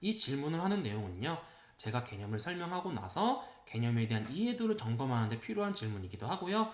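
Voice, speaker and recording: This man talks at a fairly quick pace with very wide pitch swings. Noticeable background noise sits behind him. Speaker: math academy director. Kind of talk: informational presentation. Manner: unsteady diction and intonation.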